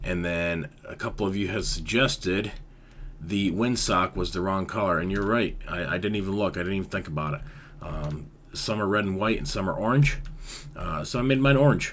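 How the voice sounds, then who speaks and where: A man speaks at a moderate pace with a fairly low pitch and ordinary pitch variation. Audible room echo surrounds his voice. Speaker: Minecraft YouTuber. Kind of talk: gameplay tutorial commentary. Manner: casual, filler-heavy.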